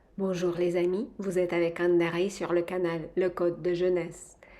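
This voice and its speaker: The tone is calm, dark and mellow, at a fairly slow pace. Audible room echo surrounds the voice. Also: woman. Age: 50s. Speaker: face yoga instructor. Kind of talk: tutorial. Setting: villa bathroom. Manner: calm, instructive.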